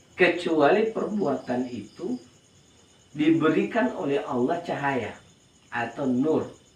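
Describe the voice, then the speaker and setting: With audible room echo and noticeable background noise, a man speaks at a very slow pace. His pitch is fairly high and his intonation lively. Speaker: Islamic religious teacher. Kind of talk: religious study lecture. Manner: slow, relaxed; repetitive, explanatory.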